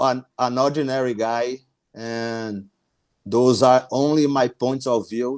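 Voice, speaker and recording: Speaking with a Brazilian accent, a man keeps a fairly slow pace and a monotone, flat intonation. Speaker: small business owner. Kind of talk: podcast interview. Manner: halting, frequent repetitions.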